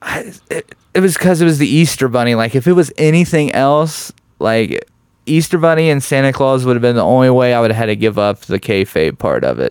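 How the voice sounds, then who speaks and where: A man with a Midwestern US accent speaks at a fairly quick pace with lively intonation. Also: medium pitch for a man. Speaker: stand-up comedian. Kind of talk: casual chat. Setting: studio.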